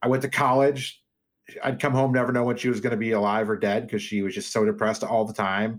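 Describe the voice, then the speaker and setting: A man at medium pitch, very fast pace and fairly even intonation. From US Midwest (Iowa, Chicago suburbs). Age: 40s. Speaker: fantasy sports radio host. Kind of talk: casual chat. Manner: fast talker.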